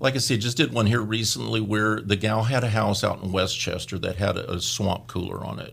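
The voice carries vocal fry and moves at a fairly quick pace with hardly any pauses. The recording is very clean, with a silent background. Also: man. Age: 60s. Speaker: mortgage branch manager. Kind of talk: radio interview.

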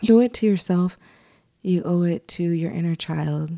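The voice has a relaxed, dark, mellow tone and moves at a fairly slow pace in a very clean recording with a silent background. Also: woman. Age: 20s. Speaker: podcast host. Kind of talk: casual monologue. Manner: relaxed, conversational.

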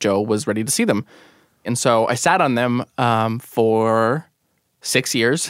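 On a very clean recording with a silent background, a man with an American accent uses an ordinary speaking voice at medium pitch, with very even loudness and ordinary pitch variation. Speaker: radio producer and storyteller. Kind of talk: personal storytelling narration.

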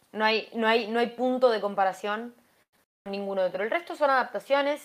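A woman's fairly high pitch, ordinary pitch variation and moderate pace. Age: 20s. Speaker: YouTuber. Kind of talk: casual chat. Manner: halting, repeats words.

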